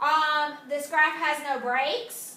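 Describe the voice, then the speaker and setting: A woman raises and projects her high-pitched voice amid audible room echo. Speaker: high school math teacher. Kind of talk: video lesson. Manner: casual, many fillers.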